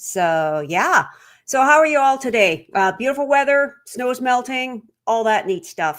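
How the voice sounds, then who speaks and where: This is a woman's voice. Her pitch swings very widely. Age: 60s. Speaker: trail running podcaster. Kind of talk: live stream talk. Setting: live stream. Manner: casual, filler-heavy.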